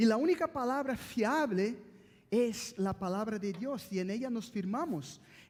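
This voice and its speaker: A man with a Brazilian accent talks very slowly in an extremely high pitch, his intonation lively. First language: Portuguese (speaking Spanish). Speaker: pastor. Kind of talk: sermon. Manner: halting.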